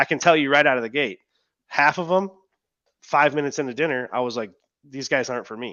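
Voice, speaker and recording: This man talks very fast, his voice sitting fairly high in pitch. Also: ordinary pitch variation. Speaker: business owner who sold his company. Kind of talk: webinar interview. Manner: loud, boisterous; casual, filler-heavy.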